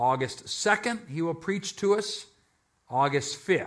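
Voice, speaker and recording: Here a man speaks with a high pitch and a bright, sharp tone. His intonation is lively. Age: 60s. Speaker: pastor. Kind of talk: sermon. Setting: church. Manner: animated.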